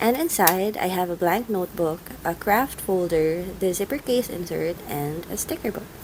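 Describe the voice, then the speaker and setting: A woman at a medium pitch and moderate pace, ordinary pitch variation, noticeable background noise. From Philippines. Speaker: journaling YouTuber. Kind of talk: scripted voiceover narration.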